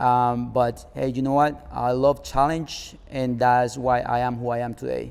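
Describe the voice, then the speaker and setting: A man with a Spanish accent speaks in a monotone, flat intonation with hardly any pauses. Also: medium pitch for a man, fairly slow pace. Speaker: car club founder. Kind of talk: interview. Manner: hesitant, many fillers.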